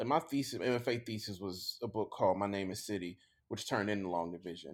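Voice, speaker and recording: Talking at a very fast pace with a Mississippi accent, a man uses a fairly low pitch with ordinary pitch variation in a very clean recording with a silent background. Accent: Mississippi Southern US. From US South, Jackson, Mississippi. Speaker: author and professor. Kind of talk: casual interview chat.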